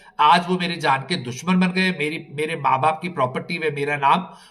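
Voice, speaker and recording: A man at a fairly high pitch with ordinary pitch variation. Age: 60s. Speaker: palace owner in land dispute. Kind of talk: interview statement. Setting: on location at palace. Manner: halting.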